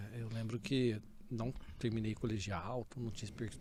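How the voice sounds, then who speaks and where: A somewhat breathy male voice delivers its words at a moderate pace. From Brazil, Ribeirão Preto, interior of São Paulo. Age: 40s. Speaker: data technology leader and MBA lecturer. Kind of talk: podcast interview. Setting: studio. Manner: casual, conversational.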